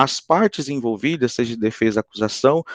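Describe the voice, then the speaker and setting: At a moderate pace, a man talks with lively intonation. The sound is dry and close, with no echo. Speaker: psychologist and lecturer. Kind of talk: lecture. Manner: hesitant with many fillers.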